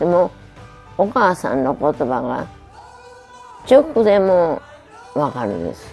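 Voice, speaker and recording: Over faint background music, the voice moves at a very slow pace through very wide pitch swings. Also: woman. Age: 80s+. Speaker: midwife. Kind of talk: interview answer. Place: home room.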